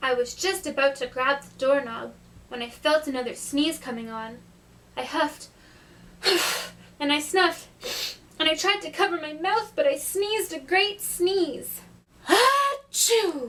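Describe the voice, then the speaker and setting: A high-pitched cartoonish character voice moves at a moderate pace, broken by long, frequent pauses. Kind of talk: read story. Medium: puppet.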